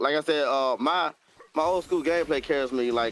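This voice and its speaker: With ordinary pitch variation, the speech unfolds at a moderate pace. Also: man. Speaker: gaming streamer. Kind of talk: casual chat.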